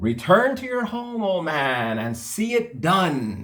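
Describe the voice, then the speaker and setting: A man puts on a character voice, pitched fairly high and swinging very widely in pitch. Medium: read story.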